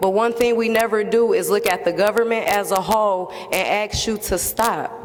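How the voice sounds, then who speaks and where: There is noticeable background noise behind a woman with a fairly high pitch. Her loudness stays very even and her intonation fairly even. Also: moderate pace. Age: 30s. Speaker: member of the public. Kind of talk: public testimony. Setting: public hearing. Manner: impassioned.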